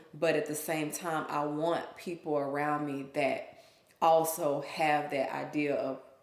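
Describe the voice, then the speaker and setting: A woman speaks fairly slowly in a very deep, low voice with monotone, flat intonation. Audible room echo surrounds her. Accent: Southern US. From US South, Memphis (Whitehaven), Mississippi family. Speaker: small business owner. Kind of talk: casual chat.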